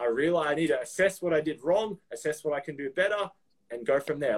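A man speaks with an Australian accent at a high pitch. His pace is fairly quick. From Melbourne, Australia. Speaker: personal trainer. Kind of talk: casual chat.

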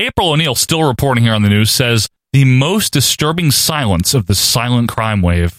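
With a normal speaking voice, a man talks at a medium pitch and moderate pace with lively intonation and very even loudness, in a dry, close sound with no echo. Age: 30s. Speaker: podcast host. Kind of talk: casual chat.

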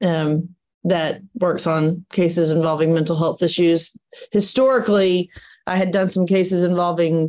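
A woman speaks in a plain, everyday voice at a moderate pace. Her intonation is fairly even, and the background is quiet. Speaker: trial lawyer. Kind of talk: interview.

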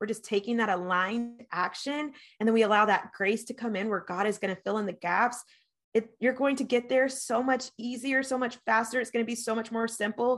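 Here is a woman with an unremarkable speaking voice and a fairly high pitch. She goes at a fairly quick pace against a quiet background. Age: 30s. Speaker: business coach. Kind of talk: casual chat.

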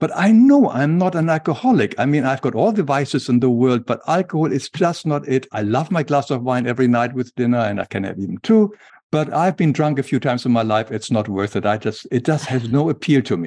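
A man with a German accent speaks at a medium pitch in a dark, mellow tone. His intonation is lively and the background is quiet. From Germany. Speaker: author, illustrator and spiritual teacher. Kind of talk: interview about spirituality.

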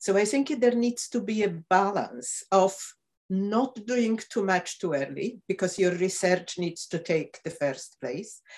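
At a fairly slow pace, a woman with a Polish accent speaks at a medium pitch with lively intonation. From Poland. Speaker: professor of medicine. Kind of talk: interview.

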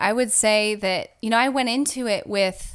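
On a very clean recording with a silent background, a woman with an American accent speaks at a moderate pace in a normal speaking voice. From Southern California. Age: 30s. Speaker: therapist. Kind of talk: interview.

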